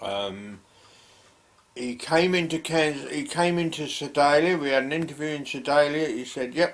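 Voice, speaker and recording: Speaking at a moderate pace, a man with a London accent has a fairly high pitch and ordinary pitch variation. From London, England. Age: 70s. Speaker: retired emigrant vlogger. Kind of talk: casual personal storytelling. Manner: halting, many fillers.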